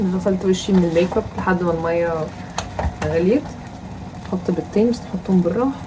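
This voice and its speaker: A woman with a medium pitch talks at a fairly quick pace with ordinary pitch variation, long, frequent pauses and very even loudness against noticeable background noise. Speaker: student vlogger. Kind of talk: vlog. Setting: home.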